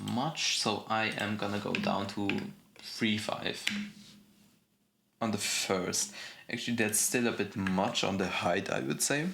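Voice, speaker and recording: A man's fairly low voice at a very slow pace, broken by long, frequent pauses. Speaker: game development tutorial youtuber. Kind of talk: tutorial. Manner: casual with fillers and self-corrections.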